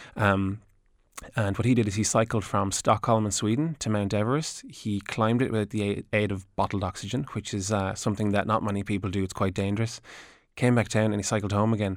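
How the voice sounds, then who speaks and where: With a Wexford Irish accent, a man speaks in a fairly low pitch. His intonation is fairly even. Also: fairly quick pace, very clean recording, silent background. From Ireland (Gorey, County Wexford). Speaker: adventure cyclist and author. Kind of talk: radio interview. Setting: radio studio.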